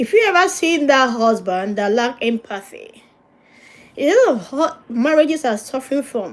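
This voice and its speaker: She speaks with a non-native accent at a moderate pace. This woman's pitch is high and swings very widely. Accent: noticeable non-native. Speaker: pastor and marriage counsellor. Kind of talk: livestream teaching on marriage.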